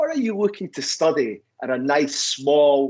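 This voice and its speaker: A man speaks with a Scottish accent and lively intonation. The background is quiet. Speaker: university recruitment representative. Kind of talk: webinar presentation.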